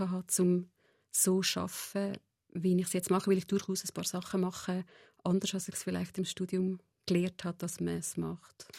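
Dry and close with no echo on a very clean recording with a silent background, a woman of medium pitch speaks at a moderate pace in a dark, mellow tone. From Central Switzerland, Nidwalden. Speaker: psychotherapist. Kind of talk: interview. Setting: radio studio.

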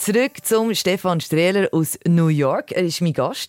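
A Swiss accent comes through in a dry, close recording with no echo. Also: woman. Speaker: radio host. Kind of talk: radio interview.

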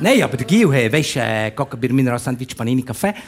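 There is a somewhat breathy quality to this man's voice. He keeps a moderate pace. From Bern, Switzerland. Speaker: comedian. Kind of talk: comic monologue. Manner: animated.

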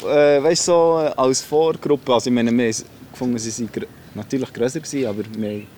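His tone dark and mellow, a man speaks at medium pitch and a fairly quick pace with ordinary pitch variation. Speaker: rapper. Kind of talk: interview.

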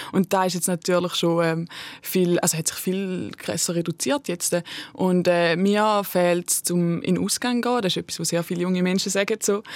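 Here a woman uses an ordinary speaking voice, with a fairly low pitch and fairly even intonation at a moderate pace. The sound is dry and close with no echo. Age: 20s. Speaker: slam poet and art student. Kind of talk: casual chat.

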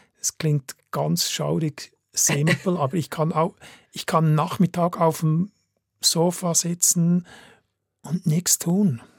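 A man speaks at a very slow pace and a high pitch, with long, frequent pauses and fairly even intonation, in a dry, close sound with no echo. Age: 60s. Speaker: photographer. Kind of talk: radio interview.

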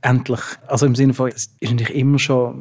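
A man speaks at a medium pitch with a somewhat breathy quality. His intonation is monotone and flat. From Switzerland, Basel. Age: 30s. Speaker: playwright. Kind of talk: interview.

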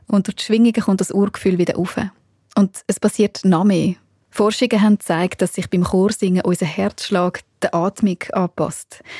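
In a Swiss accent, a woman speaks at a moderate pace with a medium pitch and fairly even intonation. Her tone is dark and mellow, somewhat breathy, with a dry, close sound and no echo. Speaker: radio journalist. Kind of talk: radio feature narration.

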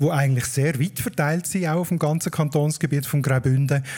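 A man with fairly high pitch has a somewhat breathy voice with a dark, mellow tone. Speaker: podcast host, dialect expert. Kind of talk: explanatory chat, live. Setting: live stage with audience at a festival.

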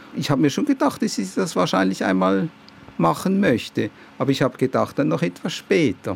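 Noticeable background noise runs under the recording. A man talks at a medium pitch. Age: 60s. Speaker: patient, civil servant. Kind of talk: interview. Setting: outdoors on a balcony.

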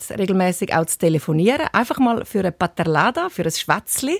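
In a very clean recording with a silent background and a dry, close sound with no echo, a woman uses a normal speaking voice at a medium pitch. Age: 50s. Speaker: TV presenter. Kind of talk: interview.

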